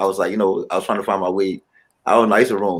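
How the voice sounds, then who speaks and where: A man is speaking. He has a Ghanaian accent. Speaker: musician. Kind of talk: interview.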